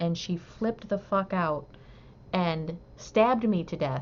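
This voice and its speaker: With a slight northern US accent, a woman speaks at a medium pitch and a moderate pace, using ordinary pitch variation. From US Midwest, Southeast Michigan. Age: 50s. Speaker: crochet livestreamer. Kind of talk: casual livestream chat. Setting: live stream, reading chat.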